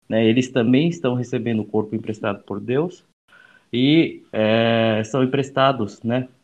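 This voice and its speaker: A man talks at a fairly slow pace in a normal speaking voice. His pitch is medium, with ordinary pitch variation. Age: 30s. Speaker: youth association director. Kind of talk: casual chat.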